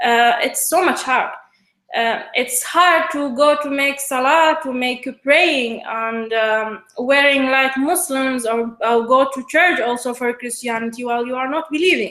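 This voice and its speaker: A woman's raised, projected voice with an Iraqi accent, high in pitch with a bright, sharp tone, at a fairly slow pace. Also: ordinary pitch variation. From Iraq, Basra. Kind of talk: interview. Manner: halting, many hesitations.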